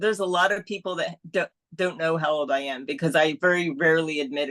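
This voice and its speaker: Very fast speech with ordinary pitch variation comes through in a dry, close sound with no echo. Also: woman, fairly low pitch for a woman. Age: 60s. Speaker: amateur triathlete. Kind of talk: interview on live stream. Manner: halting.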